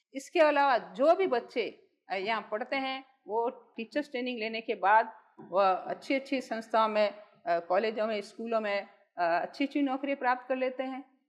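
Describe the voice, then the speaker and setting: Lively in intonation, a woman speaks in a high pitch. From Jodhpur, Rajasthan. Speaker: social worker, founder of a school for the blind. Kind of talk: interview answer.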